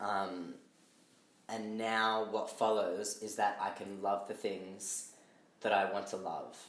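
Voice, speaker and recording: A man's fairly low, flat, monotone voice at a very slow pace, with long, frequent pauses, audible room echo and noticeable background noise. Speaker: artist. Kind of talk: casual chat. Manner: halting.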